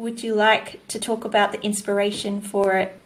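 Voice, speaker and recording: A woman with an Australian accent. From New South Wales, Australia. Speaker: podcast co-host and environmental educator. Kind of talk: casual interview.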